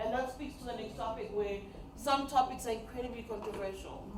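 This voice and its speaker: A woman's fairly high voice, animated in tone with ordinary pitch variation at a fairly quick pace, amid noticeable background noise and audible room echo. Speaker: media trainer and radio presenter. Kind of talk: training workshop talk. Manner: fast.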